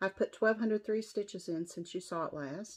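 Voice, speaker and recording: A woman at medium pitch, moving at a moderate pace with ordinary pitch variation. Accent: American. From West Virginia. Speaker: cross-stitch vlogger. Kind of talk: casual show-and-tell vlog.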